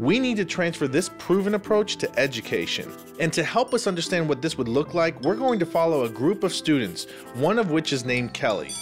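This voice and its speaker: With music in the background, a man talks at a fairly quick pace in a high pitch that makes very wide swings. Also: very even loudness. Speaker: executive director of an education nonprofit. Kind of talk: explainer video narration.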